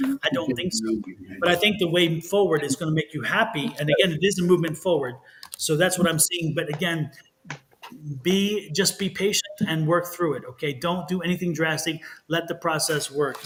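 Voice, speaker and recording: A man talks fairly quickly in a high voice, his pitch varying in an ordinary way, with noticeable background noise. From Texas. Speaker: tarot reader. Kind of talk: live stream tarot readings. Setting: live stream.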